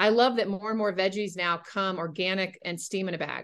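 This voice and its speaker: A woman with an American accent and an ordinary speaking voice talks at a fairly quick pace with ordinary pitch variation. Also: quiet background. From North Carolina. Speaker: nutrition coach. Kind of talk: casual chat.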